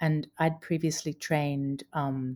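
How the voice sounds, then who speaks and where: A woman with a very deep, low voice and an American accent. Her tone is dark and mellow, with fairly even intonation. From Brisbane, Australia. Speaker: chief privacy officer. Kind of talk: casual interview.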